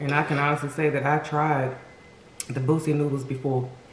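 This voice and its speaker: A woman speaks with a very deep, low pitch and fairly even intonation. Light background noise and audible room echo come through. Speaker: food vlogger. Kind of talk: casual mukbang review chat. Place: home room.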